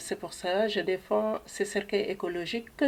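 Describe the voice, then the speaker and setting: This woman's medium-pitched voice keeps a fairly even intonation. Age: 60s. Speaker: eco-friendly coffin seller, funeral advisor. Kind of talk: interview.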